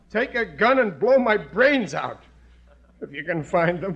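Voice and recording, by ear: Using a put-on character voice, a man speaks at a fairly slow pace with a high pitch, big pitch swings and a slightly husky edge.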